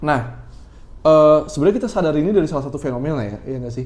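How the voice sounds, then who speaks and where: A man's voice with audible room echo. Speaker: podcast host who runs a shop. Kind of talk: casual chat.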